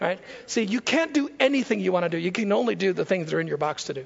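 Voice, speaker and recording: This man's tone is animated. He talks at a fairly quick pace. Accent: American. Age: 50s. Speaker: guest preacher and author. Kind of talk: sermon. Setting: church.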